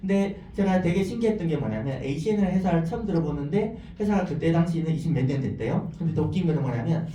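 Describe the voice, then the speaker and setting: Over noticeable background noise and audible room echo, a man talks very fast in a fairly high voice, his tone animated and his intonation lively. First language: not Korean; learned Korean as adult (speaking Korean). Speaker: network marketing businessperson. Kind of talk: business presentation.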